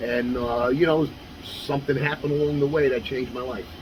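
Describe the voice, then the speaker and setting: A man with a New York accent and fairly even intonation, with noticeable background noise. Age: 60s. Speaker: former kickboxer and martial arts instructor. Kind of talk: interview. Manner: casual, with frequent fillers.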